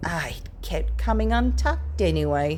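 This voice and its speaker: A woman puts on a character voice with a very deep, low pitch at a moderate pace, with clear background noise. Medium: read story.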